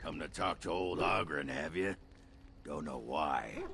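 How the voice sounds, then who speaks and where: In a raspy, put-on character voice with a very deep, low pitch, a man speaks at a fairly slow pace over clear background noise. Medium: video game. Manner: crude, rambling.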